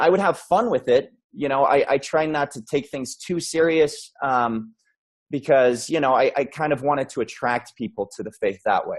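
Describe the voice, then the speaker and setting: Against a quiet background, a man with an American accent talks at a moderate pace with a fairly high pitch and ordinary pitch variation. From Utah, US. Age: 30s. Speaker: podcast guest, video producer. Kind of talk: personal testimony in interview.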